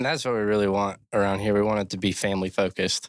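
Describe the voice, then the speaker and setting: A man talks at a very fast pace in an American accent. His pitch is fairly low and the sound is dry and close with no echo. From Maryland, Cecil County. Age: 20s. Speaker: podcast host. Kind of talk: casual chat. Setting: studio.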